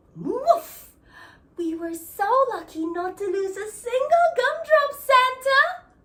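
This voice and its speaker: A female-sounding, put-on character voice speaks at an extremely high pitch and a fairly slow pace. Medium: read story.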